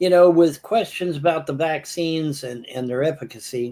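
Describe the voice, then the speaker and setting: A man talks at a fairly slow pace. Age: 60s. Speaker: live stream host. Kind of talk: heated debate. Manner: animated.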